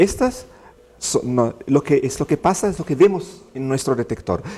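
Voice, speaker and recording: Speaking with an Italian accent at a moderate pace, a man's fairly high voice moves through very wide pitch swings. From Italy. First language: Italian (speaking Spanish). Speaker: physicist, director of a research experiment. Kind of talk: TV interview.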